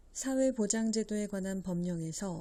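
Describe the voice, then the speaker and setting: Somewhat breathy, a woman speaks at a medium pitch. Her pace is fairly slow and her tone dark and mellow. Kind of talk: legal text read-aloud.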